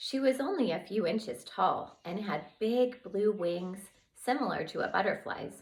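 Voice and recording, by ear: Someone is reading aloud in a natural voice.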